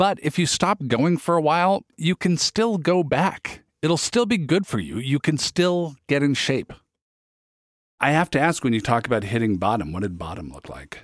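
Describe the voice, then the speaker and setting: Fairly high in pitch with very wide pitch swings, a man speaks with an American accent, the sound dry and close with no echo on a very clean recording with a silent background. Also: moderate pace. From US Pacific Northwest, Federal Way. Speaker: podcast host. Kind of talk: interview with scripted narration. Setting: studio.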